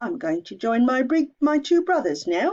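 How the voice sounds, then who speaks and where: At a moderate pace, a put-on character voice swings very widely in pitch. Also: woman. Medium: read story.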